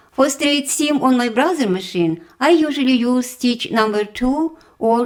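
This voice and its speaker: With a strong non-native accent, a woman speaks in a high pitch at a fairly slow pace, her intonation lively and her loudness very even. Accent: heavy foreign. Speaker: sewing tutorial creator. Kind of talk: tutorial. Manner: slow, step-by-step.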